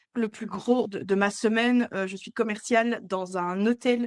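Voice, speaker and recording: With a Belgian accent, a woman speaks at a very slow pace in a fairly high pitch with fairly even intonation. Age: 20s. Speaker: entrepreneur, agency co-founder and hotel sales rep. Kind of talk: podcast interview. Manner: hesitant, many filler sounds.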